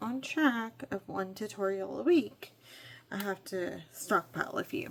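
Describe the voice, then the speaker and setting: Noticeable background noise accompanies a woman who speaks at a moderate pace. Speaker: crafting YouTuber. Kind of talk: casual tutorial chat.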